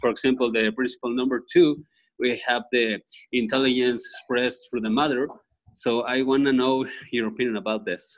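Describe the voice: A man's medium-pitched voice with a Spanish accent, moderate pace and fairly even intonation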